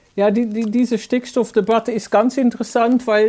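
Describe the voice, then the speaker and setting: A woman with a Dutch accent speaks fairly slowly in a dark, mellow tone and a monotone, flat intonation. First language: Dutch (speaking German). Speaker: journalist. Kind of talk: interview. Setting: video call. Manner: hesitant, many fillers.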